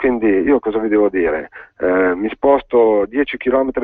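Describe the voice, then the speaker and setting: Here a man talks at a moderate pace in a medium pitch. His pitch varies in an ordinary way. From northern Italy, Valtellina (Sondrio). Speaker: provincial politician. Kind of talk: radio interview. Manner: hesitant, many fillers.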